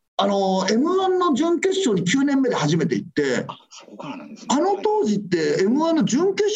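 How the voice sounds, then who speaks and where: At a moderate pace, a man speaks at a high pitch with very wide pitch swings, amid noticeable background noise and audible room echo. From Tokyo, Adachi ward. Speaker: comedian and garbage collector. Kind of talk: casual chat.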